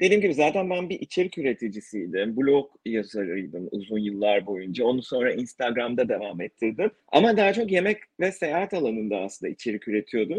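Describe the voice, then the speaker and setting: Speaking at a fairly quick pace with hardly any pauses, a man at medium pitch makes very wide pitch swings. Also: dry, close sound with no echo. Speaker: podcaster interviewing emigrants. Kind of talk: casual interview chat.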